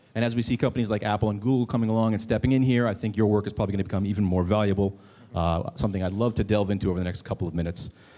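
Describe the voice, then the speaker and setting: A man's fairly low, dark and mellow voice at a very fast pace, with fairly even intonation on a very clean recording with a silent background. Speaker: panel moderator. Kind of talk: panel discussion.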